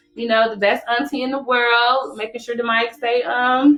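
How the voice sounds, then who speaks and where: Music plays behind a woman who speaks at a moderate pace in an animated tone. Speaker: podcast co-host. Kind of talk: casual chat. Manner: loud.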